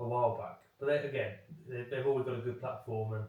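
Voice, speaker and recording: Mumbling at a very fast pace, a man speaks amid noticeable background noise and audible room echo. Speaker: podcast co-host. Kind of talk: casual chat. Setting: home recording room. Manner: mumbling a little.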